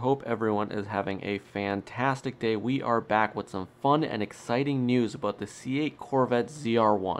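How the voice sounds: A man with a fairly low, nasal voice talks at a moderate pace. He pauses little, and his pitch varies in an ordinary way.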